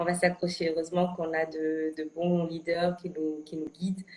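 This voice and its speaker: There is noticeable background noise. A woman speaks with a fairly low pitch. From Senegal. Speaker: actress. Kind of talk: interview. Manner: hesitant, many fillers and repetitions.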